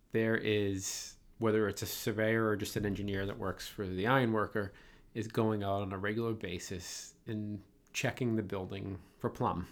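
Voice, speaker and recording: In a very clean recording with a silent background, a man with a Boston accent talks at a fairly low pitch in a monotone, flat intonation. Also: moderate pace. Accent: Boston, non-rhotic. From Boston, Massachusetts. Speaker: podcast host. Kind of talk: casual interview.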